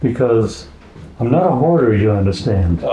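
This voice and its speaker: A man's voice with lively intonation, audible room echo and noticeable background noise. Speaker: woodturning club member. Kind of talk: show and tell presentation.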